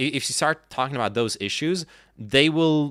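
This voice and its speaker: On a very clean recording with a silent background, a man talks at a moderate pace in a bright, sharp tone, the sound dry and close with no echo. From France (born in US, moved at five). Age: 30s. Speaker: political commentary streamer. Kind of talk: live stream chat. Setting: live stream. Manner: halting, many restarts.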